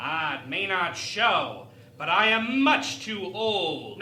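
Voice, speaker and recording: At a very slow pace, a put-on character voice of middle pitch comes through with slight echo. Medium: audio drama. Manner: polite, diplomatic.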